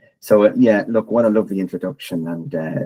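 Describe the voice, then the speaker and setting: In an Irish accent, a man speaks with lively intonation and a dark, mellow tone. The sound is dry and close, with no echo. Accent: Irish, retained. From Ireland. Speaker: technology consultant and podcaster. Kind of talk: presentation.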